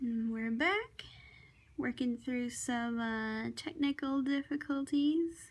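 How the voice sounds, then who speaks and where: High-pitched woman with an American accent, very slow pace, and ordinary pitch variation. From Maine, US. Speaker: comic artist. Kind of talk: casual chat while drawing. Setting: home desk.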